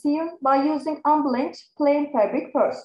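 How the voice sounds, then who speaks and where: A woman with a Turkish accent speaks in a high pitch, with audible room echo over a quiet background. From Turkey. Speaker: research assistant; conference presenter. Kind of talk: conference presentation. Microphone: webcam.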